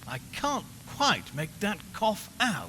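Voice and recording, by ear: A man does a put-on character voice, high-pitched with a bright, sharp tone. He goes slowly, with very wide pitch swings.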